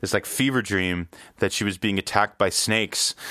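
In a very clean recording with a silent background and a dry, close sound with no echo, a man talks at a moderate pace with fairly low pitch and fairly even intonation. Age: 40s. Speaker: electronic music producer. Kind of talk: casual interview chat. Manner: halting.

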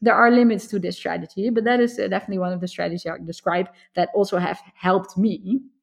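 This fairly quick speaker has a Dutch accent and talks over a quiet background. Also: woman. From Netherlands. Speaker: computer science professor. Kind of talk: interview.

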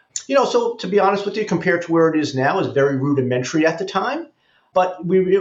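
A high-pitched man's voice with an American accent. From New York, the Bronx. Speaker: investment banker. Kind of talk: interview.

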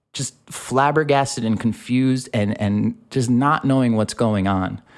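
A man with an American accent has an unremarkable speaking voice and ordinary pitch variation. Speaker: podcast host. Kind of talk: casual chat.

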